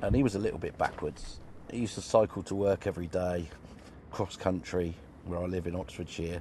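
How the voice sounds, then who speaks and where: With a British accent, a man talks in a very deep, low pitch and a dark, mellow tone, somewhat breathy, with ordinary pitch variation. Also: fairly quick pace. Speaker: caller. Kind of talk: storytelling.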